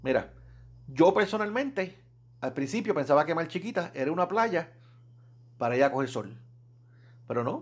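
A man's high pitch with very wide swings, moderate pace and long, frequent pauses. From Puerto Rico, Fajardo. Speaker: scuba diving YouTuber. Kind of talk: casual solo vlog talk. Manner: conversational, hesitant with repetitions.

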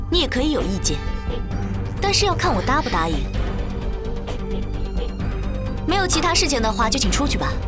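The speaker talks fairly quickly. Music sits clearly behind the speech. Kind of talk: scripted drama dialogue. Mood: cool, firm, authoritative. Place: office.

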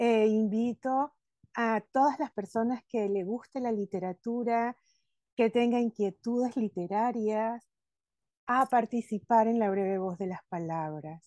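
Against a quiet background, a woman with a dark, mellow tone talks at a fairly slow pace with ordinary pitch variation and a dry sound with no echo. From Venezuela. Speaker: podcast host and former advertising copywriter; podcast host. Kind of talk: casual interview chat. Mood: warm, enthusiastic. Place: home room. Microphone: video call.

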